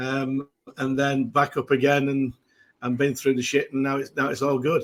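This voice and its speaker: In a Mancunian accent, a man speaks at a moderate pace with flat, monotone intonation. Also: fairly high pitch for a man. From northern England, Manchester. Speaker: football fan guest. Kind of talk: casual chat. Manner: halting.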